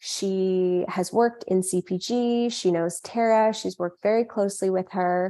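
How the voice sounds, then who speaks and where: With a Western Canadian accent, a woman speaks at medium pitch in a dark, mellow tone and fairly even intonation, the recording very clean with a silent background. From Canada, Vancouver. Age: 20s. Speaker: food company founder. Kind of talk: interview.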